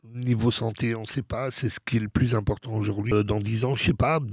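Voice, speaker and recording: The recording is very clean with a silent background. A man speaks at medium pitch with fairly even intonation. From Belgium. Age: 50s. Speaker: DJ. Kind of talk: interview. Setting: studio. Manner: halting, many fillers.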